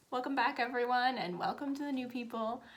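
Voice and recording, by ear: Putting on a character voice, a woman speaks at a fairly quick pace, raspy and high in pitch, with ordinary pitch variation.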